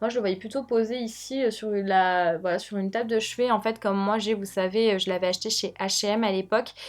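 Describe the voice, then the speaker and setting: The pace is very fast. The intonation stays fairly even. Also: woman. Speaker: lifestyle youtuber. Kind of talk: product review vlog. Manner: casual with many fillers.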